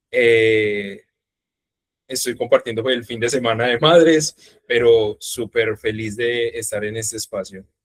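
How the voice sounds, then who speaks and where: In an ordinary speaking voice, a man talks at a fairly slow pace and medium pitch with fairly even intonation, in a dry, close sound with no echo. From Colombia, Urabá region of Antioquia. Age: 20s. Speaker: university student. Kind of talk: talk on video call.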